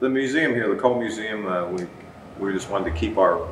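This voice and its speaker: A man talks with fairly even intonation. Audible room echo and light background noise are present. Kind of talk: interview answer.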